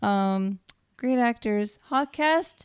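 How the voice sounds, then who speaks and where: The voice is quiet. The recording is very clean, with a silent background. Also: woman. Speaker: podcast co-host. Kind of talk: casual chat.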